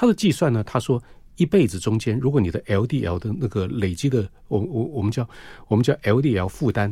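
Lively intonation marks this somewhat breathy voice. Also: man. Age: 60s. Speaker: cardiologist. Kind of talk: radio interview. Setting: studio.

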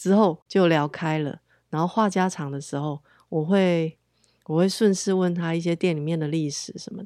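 On a very clean recording with a silent background, a woman with a fairly low pitch and a dark, mellow tone speaks at a moderate pace, her intonation fairly even but her loudness swinging widely. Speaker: podcast host. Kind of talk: casual monologue.

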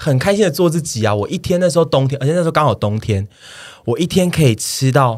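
In a very clean recording with a silent background, a man talks at a fairly quick pace with a Taiwanese accent and lively intonation. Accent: Taiwanese Mandarin. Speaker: podcast co-host. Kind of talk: casual chat. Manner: animated.

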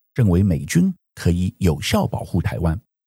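A man's dark, mellow voice is somewhat breathy, with lively intonation. The recording is very clean, with a silent background and a dry, close sound with no echo. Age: 60s. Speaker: podcast host. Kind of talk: news analysis monologue.

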